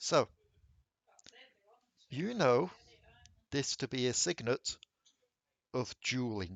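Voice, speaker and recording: A man with a medium pitch and lively intonation talks at a very slow pace, broken by long, frequent pauses. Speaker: tabletop game master.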